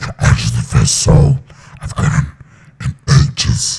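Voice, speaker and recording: A man growls in a put-on character voice with a very deep, low pitch. He keeps a moderate pace. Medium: read story. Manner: theatrical, lordly.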